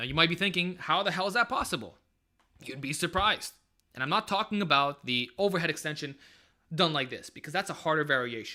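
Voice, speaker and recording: A man speaks in an energetic way, his tone bright and sharp. His intonation is lively. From Montreal East End, Quebec. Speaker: fitness YouTuber, bodybuilder. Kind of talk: live stream Q&A. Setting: live stream. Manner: casual, energetic.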